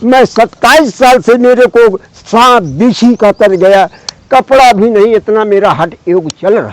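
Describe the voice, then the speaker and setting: Over noticeable background noise, a man talks very slowly at a high pitch with ordinary pitch variation, in a dry, close sound with no echo. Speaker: hermit ascetic holy man. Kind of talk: spiritual conversation.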